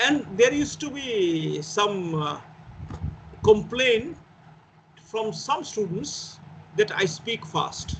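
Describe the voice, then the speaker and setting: Speaking very slowly with long, frequent pauses, a man with a Bengali accent talks at a high pitch, his voice swinging very widely up and down against audible room echo. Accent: Indian English (Bengali). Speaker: teacher. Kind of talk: lecture.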